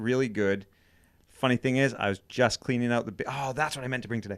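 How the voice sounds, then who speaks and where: A man at medium pitch, with ordinary pitch variation and a fairly quick pace, in a very clean recording with a silent background. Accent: slight Maine. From Maine. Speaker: podcast co-host, cabin builder. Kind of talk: casual chat. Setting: studio.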